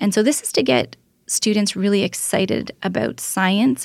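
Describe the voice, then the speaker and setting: A woman with a Canadian accent has a normal speaking voice at medium pitch and a moderate pace. The recording is very clean, with a silent background. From Ontario, Canada (Oakville). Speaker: research scientist. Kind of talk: interview.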